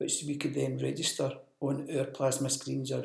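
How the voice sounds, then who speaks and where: A man's words come at a fairly slow pace. The room adds an audible echo. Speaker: business development manager presenting training. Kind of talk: recorded training presentation. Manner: monotone.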